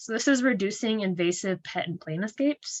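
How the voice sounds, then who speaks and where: A woman with an American accent, a bright, sharp tone and very wide pitch swings, in a dry, close sound with no echo. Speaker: invasive species field coordinator. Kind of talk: webinar presentation. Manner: fast.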